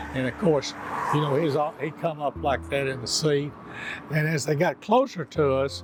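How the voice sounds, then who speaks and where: The speaker talks at a moderate pace with a Texan accent over noticeable background noise. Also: man, fairly high pitch for a man, ordinary pitch variation. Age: 70s. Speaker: eyewitness. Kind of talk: testimony.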